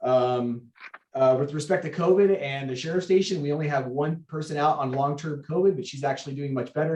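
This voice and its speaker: A man with a fairly high pitch and a somewhat breathy voice moves along at a fairly quick pace. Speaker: sheriff's station captain. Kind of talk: public meeting report. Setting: remote video meeting. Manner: fast.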